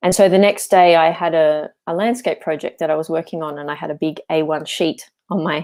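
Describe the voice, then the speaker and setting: Over a silent background in a very clean recording, a woman talks with an Australian accent. Her pitch is fairly low, her intonation fairly even, and she goes at a fairly quick pace with hardly any pauses. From Australia, Melbourne. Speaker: landscape architect and English coach. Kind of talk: interview.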